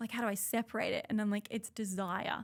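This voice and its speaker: A woman with an Australian accent talks at a fairly quick pace in a medium pitch. Her intonation is monotone and flat, on a very clean recording with a silent background. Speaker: trauma therapist. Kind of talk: podcast interview. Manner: loud; talkative.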